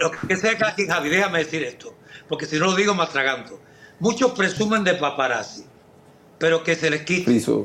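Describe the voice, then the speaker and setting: In a Cuban accent, a man with a high-pitched voice speaks at a moderate pace with lively intonation. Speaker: singer and actor. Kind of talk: casual interview.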